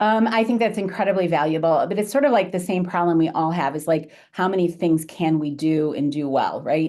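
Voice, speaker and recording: A woman's fairly low, dark and mellow voice with lively intonation at a moderate pace, against a quiet background. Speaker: author giving marketing talk. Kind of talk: webinar presentation and Q&A.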